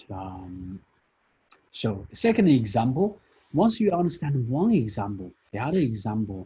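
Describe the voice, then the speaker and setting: The voice is somewhat breathy with a dark, mellow tone, moving at a moderate pace. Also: man. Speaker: statistics lecturer. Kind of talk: classroom lecture.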